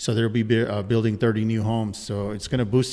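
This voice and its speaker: A man at a very fast pace and a medium pitch. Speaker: city council member. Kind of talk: casual interview.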